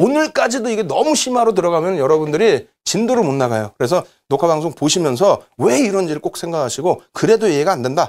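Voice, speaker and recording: Very fast and with hardly any pauses, a man speaks at a high pitch with very wide pitch swings. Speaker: stock trading instructor. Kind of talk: lecture. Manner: animated.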